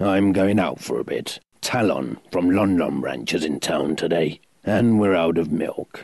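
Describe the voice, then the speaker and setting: A man uses a gruff, raspy put-on character voice with very deep, low pitch at a moderate pace. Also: ordinary pitch variation. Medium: audio drama. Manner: gruff, snapping, secretly concerned.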